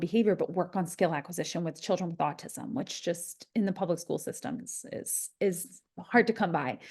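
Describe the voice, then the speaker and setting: With an American accent, a plain, everyday voice moves at a moderate pace with ordinary pitch variation against a quiet background. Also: woman. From US East Coast. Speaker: behavior analyst. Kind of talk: webinar presentation.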